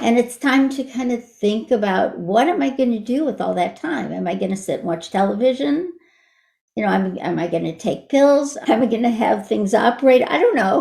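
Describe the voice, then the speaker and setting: A woman with a fairly high pitch and vocal fry speaks at a moderate pace, her tone dark and mellow and her intonation lively. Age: 70s. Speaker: artist. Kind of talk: interview.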